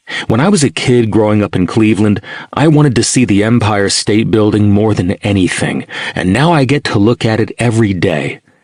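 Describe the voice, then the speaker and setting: A man talks at a fairly quick pace with a fairly low voice and ordinary pitch variation. His loudness stays very even over noticeable background noise. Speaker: audiobook narrator.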